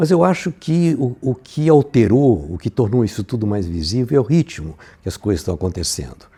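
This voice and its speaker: In a very clean recording with a silent background, a man speaks in a dark, mellow tone. His voice is somewhat breathy, with very wide pitch swings. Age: 80s+. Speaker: filmmaker. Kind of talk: interview testimony. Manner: halting, with many repetitions and fillers.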